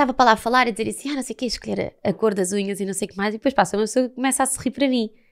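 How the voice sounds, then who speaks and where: Against a quiet background, a woman with a fairly high voice talks very fast with hardly any pauses and ordinary pitch variation. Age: 20s. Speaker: actress; podcast guest, actress. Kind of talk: casual chat. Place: studio. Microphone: studio mic.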